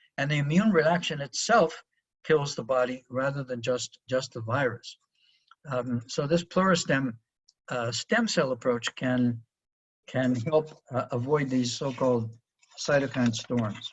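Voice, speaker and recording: A man's somewhat breathy voice at a fairly slow pace. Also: medium pitch for a man, ordinary pitch variation. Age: 70s. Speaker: professor. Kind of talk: webinar lecture. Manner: hesitant with fillers.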